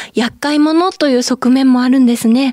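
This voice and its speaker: A woman speaks in a high pitch with a dark, mellow tone. The sound is dry and close with no echo, on a very clean recording with a silent background. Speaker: radio host and idol singer. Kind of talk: radio show hosting. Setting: studio. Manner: polite.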